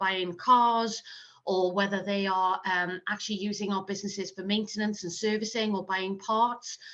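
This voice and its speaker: A woman in a Welsh accent speaks at a moderate pace with a medium pitch and a bright, sharp tone. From South Wales. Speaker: marketing manager. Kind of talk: interview.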